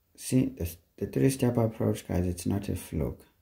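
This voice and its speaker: Fairly slowly, a man speaks in a very deep, low voice that is somewhat breathy, with a dark, mellow tone and lively intonation. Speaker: maths teacher. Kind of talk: tutorial.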